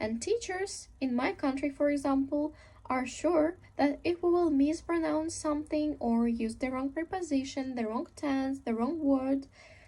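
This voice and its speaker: This woman speaks in a Russian accent, her high pitch carrying a dark, mellow tone. Her pace is fairly slow, with ordinary pitch variation. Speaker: speaker. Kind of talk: talk.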